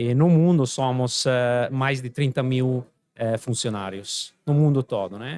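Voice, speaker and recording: Speaking at a very slow pace with an Italian accent, the man keeps a medium pitch and ordinary pitch variation. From Italy. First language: Italian (speaking Portuguese). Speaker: company president, engineer. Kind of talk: podcast interview. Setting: event venue. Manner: hesitant, many fillers.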